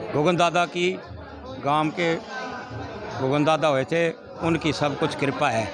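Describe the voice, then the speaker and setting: Crowd noise fills the background as a man with a fairly high pitch speaks at very even loudness, leaving long, frequent pauses. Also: ordinary pitch variation. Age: 60s. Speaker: village cowshed head. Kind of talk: interview.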